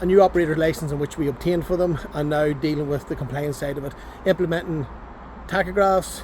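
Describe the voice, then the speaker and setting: A man speaks with a Northern Irish accent. There is noticeable background noise. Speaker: transport compliance business owner vlogger. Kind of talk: casual vlog. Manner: fast.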